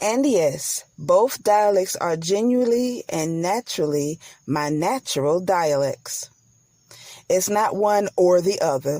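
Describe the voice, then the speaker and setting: At a very slow pace, a woman with a dark, mellow tone and medium pitch speaks with lively intonation. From US South, Atlanta, Georgia. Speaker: podcast host. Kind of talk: podcast monologue. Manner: careful enunciation; animated.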